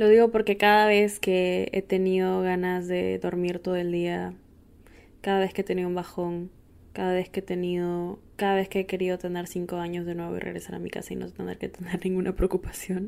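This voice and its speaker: Her medium-pitched voice moves along fairly quickly. The woman's intonation stays monotone and flat. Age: 20s. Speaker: podcast host. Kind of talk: casual monologue.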